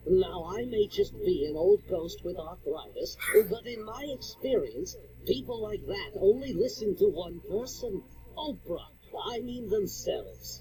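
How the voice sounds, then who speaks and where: Someone does a put-on character voice that sounds shaky, moving at a moderate pace over clear background noise. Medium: cartoon. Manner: rambling, cranky.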